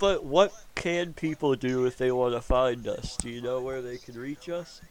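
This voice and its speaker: Using an unremarkable speaking voice, a man with a fairly high pitch talks at a fairly slow pace, with big swings in loudness. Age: 20s. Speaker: podcast host. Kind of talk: casual chat.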